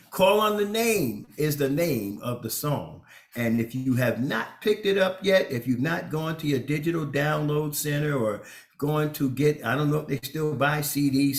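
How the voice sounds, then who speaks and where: With music in the background, a man speaks at a fairly high pitch with lively intonation. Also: moderate pace. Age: 60s. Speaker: bishop and radio co-host. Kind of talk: casual chat.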